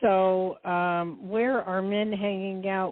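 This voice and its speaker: In an American accent, a woman with an unremarkable speaking voice talks at a medium pitch with ordinary pitch variation. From New Jersey. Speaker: psychic. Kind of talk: call-in psychic reading.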